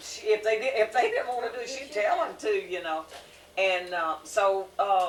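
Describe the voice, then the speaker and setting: This woman speaks with a Southern US accent at a moderate pace. Her pitch sits in the medium range, with lively intonation. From US South. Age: 70s. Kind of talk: casual chat.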